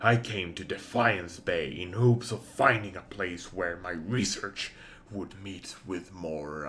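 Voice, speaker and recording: Putting on a character voice with a very deep, low pitch, a man speaks at a fairly slow pace over clear background noise. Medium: game stream.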